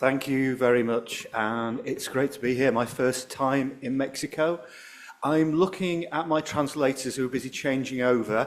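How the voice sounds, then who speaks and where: A man's medium-pitched voice with fairly even intonation and a northern English accent. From northern England. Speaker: professor, appetite researcher. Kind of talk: conference talk. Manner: fast.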